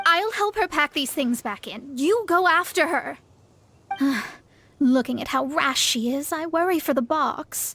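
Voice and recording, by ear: Putting on a character voice, a woman speaks at a fairly slow pace in a high pitch. Her tone is bright and sharp, with lively intonation.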